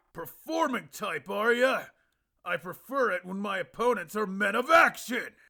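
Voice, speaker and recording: A man projects a raised, put-on character voice at an extremely high pitch, his intonation lively. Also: moderate pace. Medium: solo performance. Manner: brash, casual.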